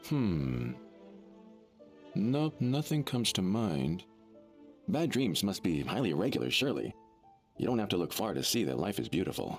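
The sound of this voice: A put-on character voice with a slightly husky edge makes big pitch swings at a moderate pace. Long, frequent pauses break it up, with faint music in the background. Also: man, low pitch for a man.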